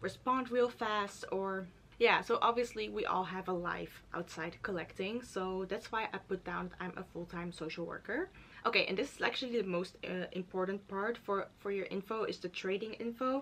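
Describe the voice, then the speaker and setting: With noticeable background noise behind her, a woman speaks with a Dutch accent. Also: medium pitch for a woman, ordinary pitch variation, moderate pace. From Netherlands. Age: 20s. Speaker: YouTuber. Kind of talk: tutorial. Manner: casual, filler-heavy.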